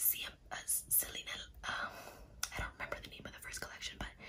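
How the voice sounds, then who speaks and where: A soft-spoken whisper comes through over noticeable background noise. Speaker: ASMR creator. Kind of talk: soft-spoken ASMR unboxing chat. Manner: soft ASMR whisper, close to mic.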